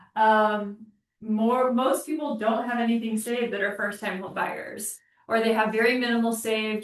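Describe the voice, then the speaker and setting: Here is a woman with an ordinary speaking voice and a fairly high pitch. She talks at a moderate pace. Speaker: mortgage lender presenting to real estate agents. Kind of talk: training class presentation.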